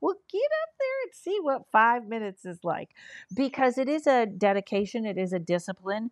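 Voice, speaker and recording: A woman talks at a fairly quick pace in a plain, everyday voice with fairly high pitch. The sound is dry and close with no echo, and the background is quiet. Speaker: comedian and paranormal investigator. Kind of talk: casual interview chat.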